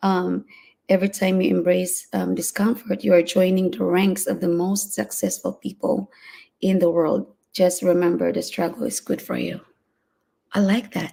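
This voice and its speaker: A woman is speaking at a moderate pace. She has a non-native accent. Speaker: live-stream motivational vlogger. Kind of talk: solo live stream talk. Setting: home live stream, early morning. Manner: hesitant, many fillers.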